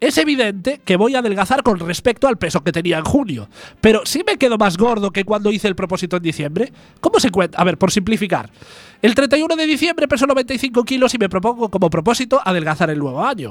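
Music plays in the background as a man with a high pitch speaks at a fairly quick pace, his pitch swinging very widely. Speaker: community radio comedy host. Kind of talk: casual comedic chat. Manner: fast.

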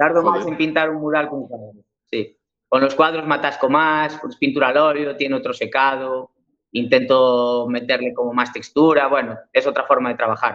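Delivered at a moderate pace, this is an ordinary speaking voice with fairly even intonation. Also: man, fairly high pitch for a man. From Galicia, Spain (Cambre, A Coruña). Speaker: painter and muralist. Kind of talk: interview.

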